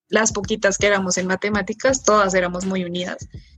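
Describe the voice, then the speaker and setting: Noticeable background noise can be heard in this clip. The woman talks at a moderate pace. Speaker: mechanical engineering student. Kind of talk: casual chat.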